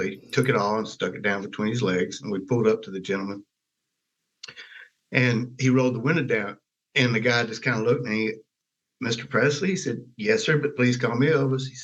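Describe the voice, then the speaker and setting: A man with a Southern US accent speaks fairly quickly at a medium pitch with ordinary pitch variation, leaving long, frequent pauses. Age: 70s. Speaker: Elvis Presley's stepbrother. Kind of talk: interview answer.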